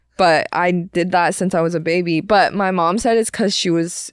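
A woman's fairly low-pitched voice at a moderate pace, with fairly even intonation, on a very clean recording with a silent background. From China, moved to US at age ten. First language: Chinese. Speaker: stand-up comedian. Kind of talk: casual chat. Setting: studio.

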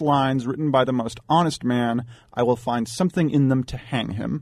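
This man has a plain, everyday voice, medium in pitch, and talks at a fairly quick pace. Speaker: data analyst. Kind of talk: talk radio discussion. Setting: studio.

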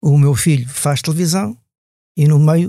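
Dark and mellow in tone, this man's voice is somewhat breathy. The recording is very clean, with a silent background. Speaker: motoring journalist. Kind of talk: casual interview.

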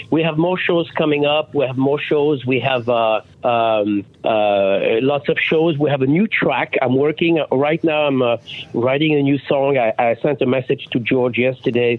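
A man with a French accent holds a very even loudness, his pitch varying in an ordinary way. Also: medium pitch for a man, moderate pace. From France. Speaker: rock singer and songwriter. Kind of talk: radio interview. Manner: halting, many fillers.

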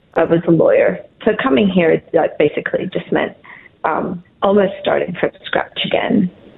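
There is noticeable background noise as a woman talks at a moderate pace. Her loudness stays very even. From Colombia. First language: Spanish. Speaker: caller, former lawyer. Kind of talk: casual chat. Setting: phone call.

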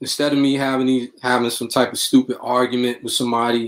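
Speaking at a moderate pace with a Brooklyn accent, a man uses a medium pitch and a monotone, flat intonation. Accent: New York, Brooklyn. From New York City, Brooklyn. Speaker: rapper and music producer. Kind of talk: interview.

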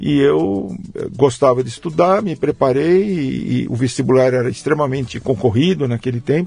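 A man with a dark, mellow tone and medium pitch talks at a moderate pace. His somewhat breathy voice has lively intonation. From Brazil, São Paulo state (Jundiaí area). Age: 70s. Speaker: agronomy professor. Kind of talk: interview conversation. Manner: halting, many repetitions.

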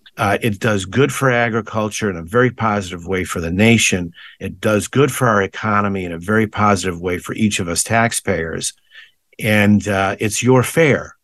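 Against a quiet background, a man speaks at a moderate pace with fairly low pitch and ordinary pitch variation. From western Massachusetts, West Springfield. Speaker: fair executive. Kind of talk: interview. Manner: halting, many fillers and repeats.

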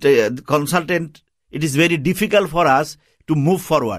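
Speaking with lively intonation and a Bangladeshi accent, a man comes through on a very clean recording with a silent background. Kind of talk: radio interview. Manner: halting, non-fluent English.

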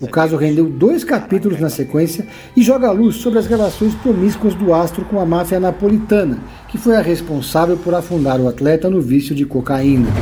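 A man's high, dramatic voice at a fairly quick pace, with lively intonation and music in the background. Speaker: podcast host and series reviewer. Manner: measured, polished, dramatic-toned.

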